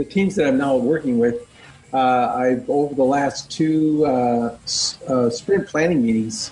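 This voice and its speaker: With music in the background, a man with an American accent speaks at a fairly high pitch with lively intonation. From US Midwest. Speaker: scrum master. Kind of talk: casual chat. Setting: video call.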